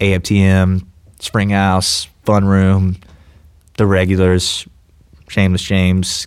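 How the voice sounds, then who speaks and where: Very deep and low, a man's voice with an American accent moves at a very slow pace. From Georgia, US South. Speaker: podcast host and musician. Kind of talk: casual chat. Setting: studio. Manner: relaxed.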